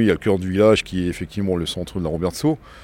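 Ordinary pitch variation in a man's dark, mellow tone, very deep and low in pitch. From Strasbourg, Alsace, France. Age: 60s. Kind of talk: interview testimony. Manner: hesitant, with repetitions.

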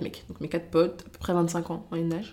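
A woman speaking at a fairly quick pace, her pitch fairly low. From France, Loiret (Montargis). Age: 20s. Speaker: social media creator and former cook. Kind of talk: casual interview chat. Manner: energetic.

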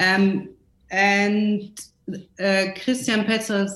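In a German accent, a woman talks at medium pitch and a very slow pace. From small town in West Germany. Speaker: costume designer. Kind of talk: interview. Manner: halting, many fillers.

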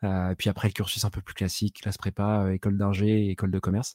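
The recording is very clean, with a silent background, and a man's voice comes through with a dark, mellow tone. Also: dry, close sound with no echo. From Brittany, France (Saint-Malo). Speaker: product management podcaster and entrepreneur. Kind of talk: casual interview chat.

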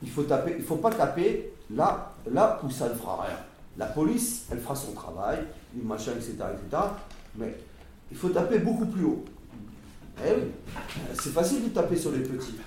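A high-pitched man at a fairly slow pace, with very wide pitch swings, long, frequent pauses, noticeable background noise and audible room echo. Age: 50s. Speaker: former prisoner. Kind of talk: testimony.

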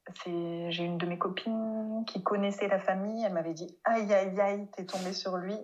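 Over noticeable background noise, a woman speaks at a medium pitch in a monotone, flat intonation. Her pace is fairly slow, with hardly any pauses. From France. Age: 30s. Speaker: speech therapist. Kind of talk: interview. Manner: hesitant, many fillers.

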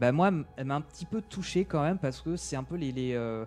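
Music plays behind a man with a fairly high pitch. He talks at a moderate pace with ordinary pitch variation. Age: 20s. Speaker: video game enthusiast guest. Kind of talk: casual chat.

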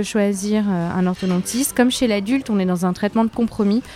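At medium pitch and with ordinary pitch variation, a woman speaks over noticeable background noise. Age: 30s. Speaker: orthodontist. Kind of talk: interview. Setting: Parisian café.

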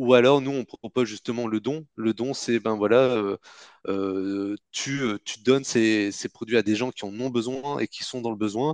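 Over a quiet background, a man of medium pitch uses a plain, everyday voice, speaking at a fairly slow pace with fairly even intonation. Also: dry, close sound with no echo. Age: 30s. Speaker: entrepreneur, company co-founder. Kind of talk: interview.

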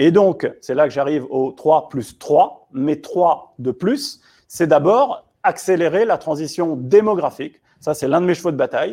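A man with a dark, mellow tone and fairly high pitch speaks at a fairly slow pace with lively intonation. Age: 40s. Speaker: essayist and futurist author. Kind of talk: round-table discussion.

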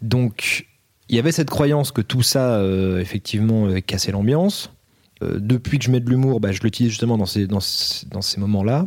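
At a moderate pace, a man speaks in a plain, everyday voice of medium pitch, in a very clean recording with a silent background. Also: ordinary pitch variation. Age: 30s. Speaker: film director, author and actor. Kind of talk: casual chat.

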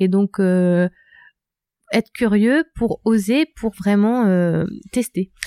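On a very clean recording with a silent background and a dry, close sound with no echo, a woman with a dark, mellow tone and medium pitch speaks at a very slow pace with long, frequent pauses, very even loudness and ordinary pitch variation. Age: 30s. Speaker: tech entrepreneur. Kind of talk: interview.

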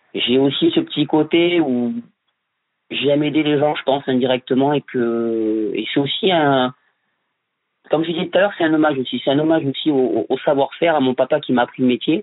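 A man at a fairly high pitch and fairly quick pace, with ordinary pitch variation. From France, Bordeaux. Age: 30s. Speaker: building tradesman. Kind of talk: interview. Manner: hesitant, many repetitions.

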